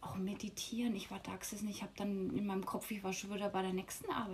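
A woman with a Franconian accent talks at a moderate pace. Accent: Franconian Bavarian, rolled R. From Lower Franconia, Bavaria. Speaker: yoga teacher. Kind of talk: casual interview.

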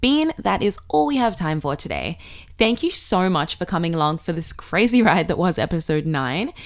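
A woman speaks at a moderate pace in an animated, cheerful tone with lively intonation. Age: 20s. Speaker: podcast host. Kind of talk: casual chat, playful game. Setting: at home.

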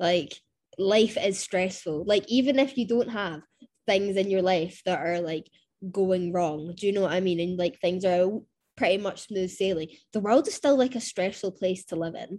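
A woman uses a normal speaking voice, keeping a medium pitch, ordinary pitch variation and a moderate pace. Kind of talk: casual chat.

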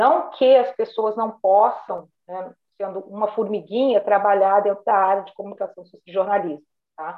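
A woman talks in an unremarkable speaking voice at a medium pitch with ordinary pitch variation. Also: moderate pace, big swings in loudness. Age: 50s. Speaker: retired bank manager. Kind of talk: casual interview.

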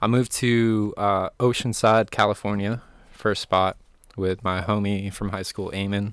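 A man with an American accent and fairly low pitch, monotone and flat, in a very clean, dry, close recording with no echo and a silent background. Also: moderate pace. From Maine, US (midcoast, Camden). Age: 20s. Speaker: videographer and photographer. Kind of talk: casual chat. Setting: home studio.

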